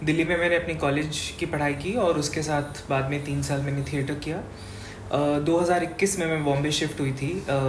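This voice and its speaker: Amid noticeable background noise and audible room echo, a woman with a very deep, low pitch speaks with fairly even intonation. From Rajasthan, India (Bikaner). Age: 20s. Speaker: event anchor and actor. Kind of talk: interview. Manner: hesitant, many fillers.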